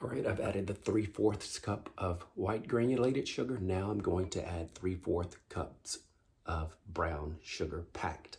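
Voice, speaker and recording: A quiet, somewhat breathy voice at a fairly slow pace, with ordinary pitch variation. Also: man, very deep, low pitch for a man. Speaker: home cooking channel host. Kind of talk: cooking tutorial. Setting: home kitchen. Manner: quiet, low-voiced.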